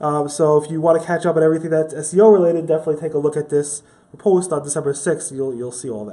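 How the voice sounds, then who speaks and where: This man speaks at a very fast pace, his pitch fairly high and his intonation fairly even. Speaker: news video host. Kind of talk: weekly news recap.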